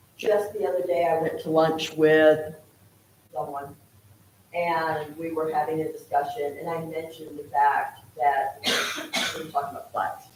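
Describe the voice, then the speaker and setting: An American-accented speaker talks at a moderate pace in a flat monotone, with big swings in loudness and long, frequent pauses. There is noticeable background noise and audible room echo. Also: woman, very deep, low pitch for a woman. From Texas. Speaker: public commenter at town council. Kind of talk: public comment. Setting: council meeting room.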